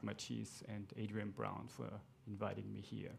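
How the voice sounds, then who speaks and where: With an Austrian accent, a man talks at a moderate pace. His pitch is fairly low. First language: German. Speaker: astronomer. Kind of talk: lecture.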